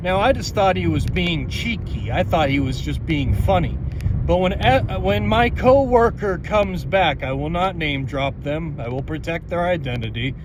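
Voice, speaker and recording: Noticeable background noise and audible room echo around a man's moderately paced speech. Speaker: podcast host, school janitor. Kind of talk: casual monologue podcast. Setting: in a car. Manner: animated.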